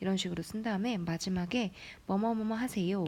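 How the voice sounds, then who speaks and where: At a fairly quick pace, a woman with an unremarkable speaking voice talks at a medium pitch with ordinary pitch variation. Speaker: English teacher. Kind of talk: lecture.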